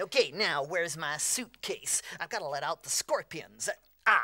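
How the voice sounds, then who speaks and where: A female-sounding, put-on character voice speaks at a moderate pace and a fairly low pitch. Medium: comedy sketch.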